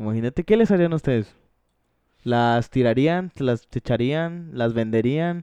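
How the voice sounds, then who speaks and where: At a fairly slow pace, a man with a Mexican accent speaks with lively intonation and a medium pitch. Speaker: podcast host. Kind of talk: casual chat.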